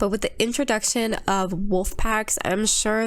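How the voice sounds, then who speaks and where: Noticeable background noise surrounds a woman's voice. She keeps a moderate pace. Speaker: gaming YouTuber. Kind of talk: casual commentary video.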